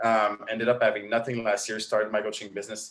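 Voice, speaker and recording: This is a man speaking. He has a French Canadian accent. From Quebec. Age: 30s. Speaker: online marketing coach. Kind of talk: interview. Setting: live stream.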